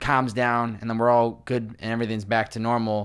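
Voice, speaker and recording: An unremarkable speaking voice from a man at medium pitch and a fairly quick pace, on a very clean recording with a silent background. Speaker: podcast host. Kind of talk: podcast interviewer talking to guest.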